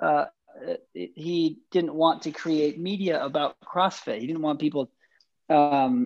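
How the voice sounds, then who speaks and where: Pitched fairly high for a man, his voice rises and falls with ordinary variation. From Utah, US. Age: 30s. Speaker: filmmaker. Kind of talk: casual interview.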